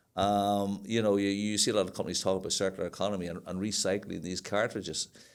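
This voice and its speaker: The speech comes very fast in a monotone with flat intonation and a Northern Irish accent. It is a very clean recording with a silent background. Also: man, fairly low pitch for a man. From Northern Ireland. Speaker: sustainability manager. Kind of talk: podcast interview. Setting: studio.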